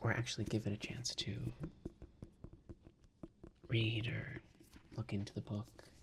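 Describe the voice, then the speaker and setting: Soft-spoken, the speaker goes at a fairly slow pace with long, frequent pauses. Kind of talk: casual talk to camera. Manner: soft-spoken, slow.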